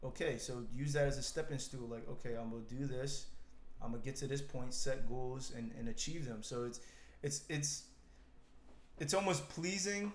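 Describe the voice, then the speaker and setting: This man's voice is somewhat breathy and fairly high, with ordinary pitch variation. He talks at a moderate pace, and room echo is audible. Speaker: podcast co-host. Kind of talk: casual chat.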